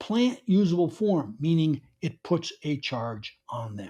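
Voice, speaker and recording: This man has a New York accent and a dark, mellow tone. He speaks at a fairly slow pace. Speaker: garden author and speaker. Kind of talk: conference talk.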